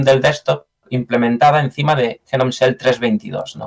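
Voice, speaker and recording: Speaking with a Galician accent, a man keeps a moderate pace and a medium pitch. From Galicia, Spain. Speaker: software engineer. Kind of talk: interview. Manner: halting, frequent repetitions.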